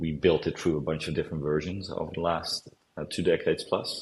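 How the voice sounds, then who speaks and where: A man's very deep, low voice with vocal fry and a Dutch accent, at a fairly quick pace. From Amsterdam, Netherlands. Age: 40s. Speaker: company founder. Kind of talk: interview. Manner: hesitant, many fillers.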